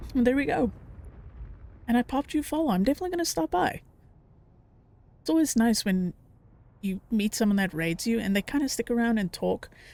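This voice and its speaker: Speaking at a very fast pace broken by long, frequent pauses, a woman with a fairly high voice swings widely in pitch, recorded with a dry, close sound and no echo. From South Africa. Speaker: streamer. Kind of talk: casual chat while gaming.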